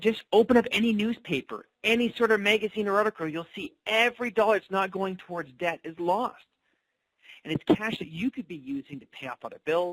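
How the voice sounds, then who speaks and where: A man talks at a fairly quick pace with lively intonation, his voice recorded dry and close with no echo. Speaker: financial coach presenter. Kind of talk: webinar sales pitch. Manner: fast.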